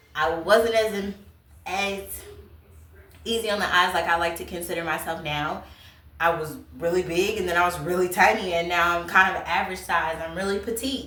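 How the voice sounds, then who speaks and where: Energetic in tone, a woman with a fairly low pitch speaks at a moderate pace amid audible room echo and noticeable background noise. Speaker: YouTuber, lifestyle vlogger. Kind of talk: casual advice talk to camera. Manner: loud.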